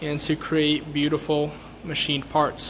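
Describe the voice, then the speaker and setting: Light background noise sits behind a man as he speaks. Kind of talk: shop tour narration. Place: workshop. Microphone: phone near.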